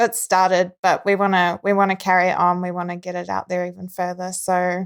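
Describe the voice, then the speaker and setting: A woman speaks at a fairly quick pace with a New Zealand accent. The recording is very clean, with a silent background. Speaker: filmmaker and actress. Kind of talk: casual chat.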